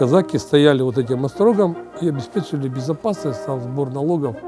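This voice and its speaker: Over music in the background, a man with a fairly high pitch talks at a moderate pace with ordinary pitch variation. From Yekaterinburg, Russia. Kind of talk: interview answer.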